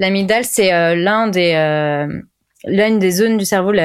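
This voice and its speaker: A woman at medium pitch and a fairly slow pace, on a very clean recording with a silent background. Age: 20s. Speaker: clinical psychologist. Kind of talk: casual interview. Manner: hesitant, many fillers.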